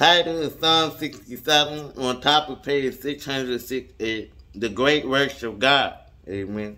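A man speaks at a fairly slow pace with a bright, sharp tone. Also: fairly high pitch for a man, ordinary pitch variation. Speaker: Bible reader. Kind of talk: reading aloud. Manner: halting.

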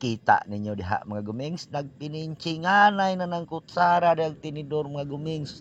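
Speaking at a fairly slow pace, a man has a Philippine accent. His tone is animated. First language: Cebuano (speaking Tagalog). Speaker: home cooking vlogger. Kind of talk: cooking tutorial.

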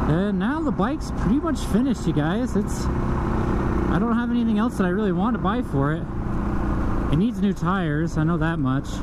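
At a moderate pace, a woman speaks through loud background noise. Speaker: motovlogger. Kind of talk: casual vlog chat. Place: motorbike. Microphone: helmet.

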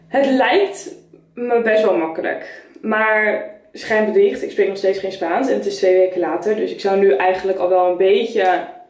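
A woman at a moderate pace amid audible room echo. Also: ordinary pitch variation. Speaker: vlogger. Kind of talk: casual vlog chat. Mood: candid, storytelling about loneliness. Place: bathroom. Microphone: camera far.

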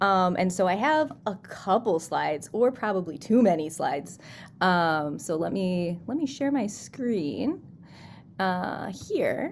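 Over light background noise, a woman with an American accent speaks at a very slow pace with lively intonation. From US Midwest, Chicago suburbs; Illinois. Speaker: scientist, postdoc researcher. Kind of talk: science talk for students. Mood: friendly, upbeat. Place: home room.

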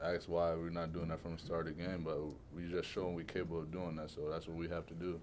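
A man speaks with a low pitch. His tone is slightly mellow.

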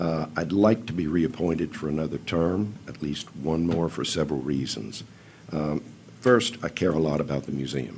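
A man with a very deep, low pitch and vocal fry talks at a moderate pace, with room echo audible. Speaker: museum commission chairman. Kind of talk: public testimony. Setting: county council meeting. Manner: formal.

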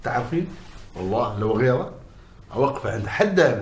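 At a moderate pace, a man talks in a space with clearly audible room echo. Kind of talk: acted drama dialogue. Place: home room.

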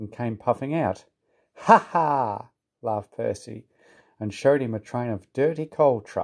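The reading is done aloud in a natural voice. Nothing much can be heard behind it.

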